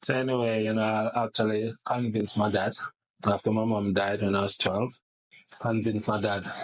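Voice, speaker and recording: A man at a very fast pace with monotone, flat intonation. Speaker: goat farmer. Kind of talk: casual interview, storytelling.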